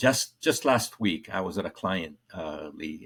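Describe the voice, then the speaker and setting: A man with a slight Colombian accent speaks in a very deep, low pitch. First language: Spanish. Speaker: corporate trainer. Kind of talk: podcast interview. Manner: halting, many fillers.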